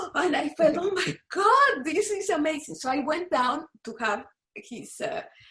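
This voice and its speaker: A woman with a Spanish accent speaks in a raised, projected voice at a fairly slow pace, her extremely high pitch swinging very widely. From Panama. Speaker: author and researcher of yogini temples. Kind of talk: interview conversation. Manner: halting, with frequent repetitions.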